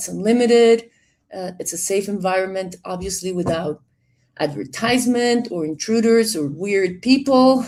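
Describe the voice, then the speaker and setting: Here a woman speaks with a Spanish accent at a medium pitch. Her intonation is lively. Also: moderate pace. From Colombia. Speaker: director of a digital library platform. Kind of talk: webinar introduction.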